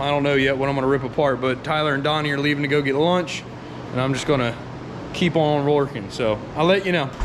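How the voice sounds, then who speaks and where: Noticeable background noise runs under the recording. There is audible echo from the room. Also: man. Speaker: car mechanic vlogger. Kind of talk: casual vlog talk. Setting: workshop garage. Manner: casual, filler-heavy.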